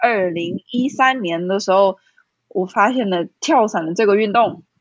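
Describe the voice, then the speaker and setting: A woman speaks with a Taiwanese accent. Her pitch is medium. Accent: Taiwanese Mandarin. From Taiwan, Kaohsiung. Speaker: skydiving instructor. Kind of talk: interview.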